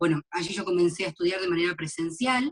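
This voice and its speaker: In an Argentine accent, a woman speaks with a fairly low, somewhat breathy voice and ordinary pitch variation, the sound dry and close with no echo. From Argentina, Mar del Plata. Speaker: graphologist. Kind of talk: interview.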